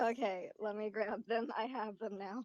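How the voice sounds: The tone is slightly mellow and the intonation stays fairly even. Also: woman, medium pitch for a woman, moderate pace.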